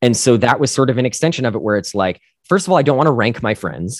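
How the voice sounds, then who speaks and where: A man with an American accent and lively intonation, dry and close with no echo, on a very clean recording with a silent background. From US Northeast, northern New Jersey. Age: 30s. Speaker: actor and musician. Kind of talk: casual interview.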